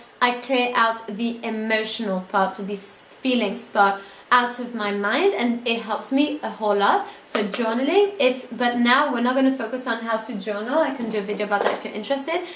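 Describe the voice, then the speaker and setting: A woman speaks in an animated tone at a moderate pace. The recording has noticeable background noise and audible room echo. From Italy. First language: not English (English is third language). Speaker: student YouTuber giving productivity tips. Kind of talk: casual vlog tutorial. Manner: animated, casual with fillers.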